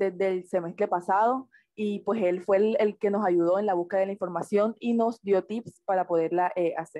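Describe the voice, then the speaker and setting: A woman speaks in a dark, mellow tone. The recording is dry and close with no echo. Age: 20s. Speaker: medical student presenter. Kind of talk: lecture.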